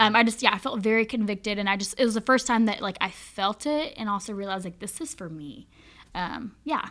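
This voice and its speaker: A plain, everyday voice: a woman with an American accent, fairly high in pitch, with big swings in loudness, on a very clean recording with a silent background. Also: ordinary pitch variation, fairly quick pace. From Charlotte, North Carolina. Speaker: youth ministry volunteer. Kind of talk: casual chat. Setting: studio.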